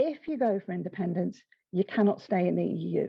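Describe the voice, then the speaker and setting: Somewhat breathy, a woman with an English accent talks at a fairly quick pace. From England. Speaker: professor. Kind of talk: panel discussion. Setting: book launch event.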